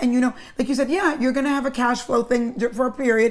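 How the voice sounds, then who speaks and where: The speaker is a woman. Her pitch is high. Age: 50s. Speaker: podcast host. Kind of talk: interview.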